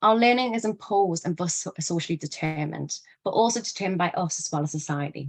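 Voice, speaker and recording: With a northeast English accent, a woman speaks at a fairly quick pace and medium pitch, her lively intonation captured in a dry, close sound with no echo. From northeast England. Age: 20s. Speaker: educator / speaker on human rights. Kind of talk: lecture. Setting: online live event.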